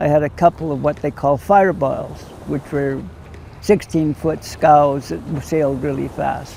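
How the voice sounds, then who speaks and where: Noticeable background noise accompanies a man who speaks at a fairly slow pace, with a fairly high pitch and fairly even intonation. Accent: Canadian. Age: 70s. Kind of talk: interview testimony.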